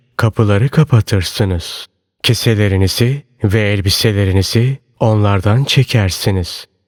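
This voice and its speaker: A man with a normal speaking voice, fairly low in pitch with ordinary pitch variation, at a fairly slow pace, dry and close with no echo on a very clean recording with a silent background. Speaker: audiobook narrator. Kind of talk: reading aloud of religious sermon text.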